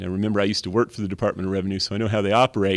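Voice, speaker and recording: The background is silent on this very clean recording. The voice has an American accent. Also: man. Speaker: lobbyist. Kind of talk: presentation. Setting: meeting room with audience. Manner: fast.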